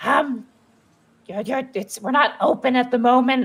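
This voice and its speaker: The speaker uses a put-on character voice with a fairly high pitch. The pace is moderate. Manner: hesitant, dismissive.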